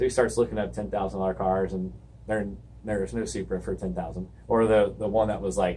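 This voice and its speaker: A man's very deep, low voice with vocal fry, an American accent, very wide pitch swings and a fairly quick pace. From US South, Georgia (Alpharetta, Milton area). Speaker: auto shop owner. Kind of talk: casual interview. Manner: animated storytelling.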